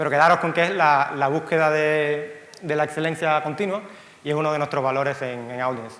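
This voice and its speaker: A man with a Cuban accent speaks at a fairly quick pace and fairly high pitch, his intonation fairly even, with audible room echo. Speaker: software company co-founder. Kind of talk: conference talk. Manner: halting, frequent fillers and repeats.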